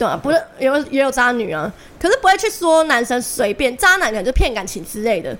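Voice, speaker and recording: With a Taiwanese accent, a woman speaks high in pitch at a fairly quick pace, her pitch swinging very widely, over noticeable background noise. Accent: Taiwanese Mandarin. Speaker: podcast co-host. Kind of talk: casual chat.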